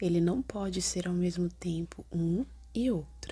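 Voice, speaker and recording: Whispering and soft-spoken, the speaker goes at a very slow pace. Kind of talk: soft whispered book reading. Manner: soft-spoken, whispered.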